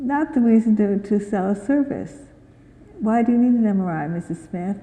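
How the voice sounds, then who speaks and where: Her voice has a dark, mellow tone. The woman sounds somewhat breathy. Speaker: physician and conference speaker. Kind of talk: conference Q&A discussion. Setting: conference hall with audience.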